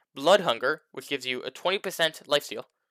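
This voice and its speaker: Speaking at a fairly quick pace, a man has a fairly high pitch with ordinary pitch variation and a bright, sharp tone. The sound is dry and close, with no echo. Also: very clean recording, silent background. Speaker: gaming youtuber. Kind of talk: gameplay commentary. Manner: fast; halting.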